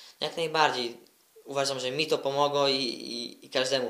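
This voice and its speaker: Noticeable background noise sits under this voice. It moves at a moderate pace with fairly even intonation. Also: man. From Poland, Koszalin. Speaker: footballer. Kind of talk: interview.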